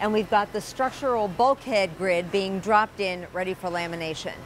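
Light background noise accompanies a woman speaking at a moderate pace. Her pitch varies in an ordinary way, and the sound is dry with no echo. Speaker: factory tour host. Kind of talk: presenter tour commentary. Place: factory. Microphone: lapel.

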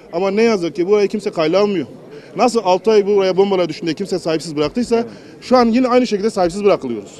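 A high-pitched man at a very fast pace, ordinary pitch variation, dry sound with no echo, light background noise. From Turkey. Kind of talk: complaint to politician. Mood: worried, pleading. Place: street.

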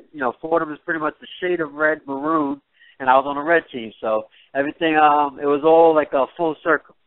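A man with a New York accent speaks fairly quickly at a fairly high pitch, with fairly even intonation. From Jamaica, raised in New York. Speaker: MMA fighter. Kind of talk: interview. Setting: phone call.

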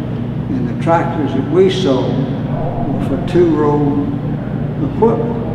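Loud background noise and audible room echo surround the speaker. He is a man with a Southern US accent. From Alabama. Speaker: retired farm equipment dealer. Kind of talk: interview answer. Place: empty room.

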